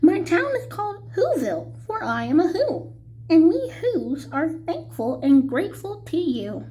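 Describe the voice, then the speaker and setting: A woman performs a put-on character voice at a moderate pace. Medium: read story.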